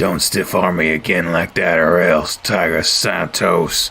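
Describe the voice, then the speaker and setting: Over clear background noise, a man puts on a raspy character voice with a very deep, low pitch at a fairly slow pace. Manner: threatening.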